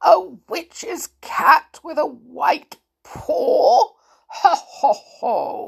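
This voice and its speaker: This put-on character voice is croaky and extremely high in pitch. It moves at a very slow pace. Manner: cackling.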